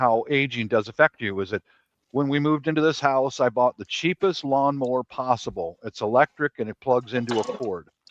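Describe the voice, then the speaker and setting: At a medium pitch and fairly quick pace, a man speaks in a plain, everyday voice with ordinary pitch variation and a dry, close sound with no echo. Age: 60s. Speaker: prepper panelist on a live stream. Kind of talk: casual panel chat.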